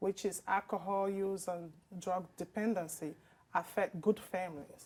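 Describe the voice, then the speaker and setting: A woman's medium-pitched voice at a very slow pace. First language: a language other than English. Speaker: project lead consultant. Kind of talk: interview. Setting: studio.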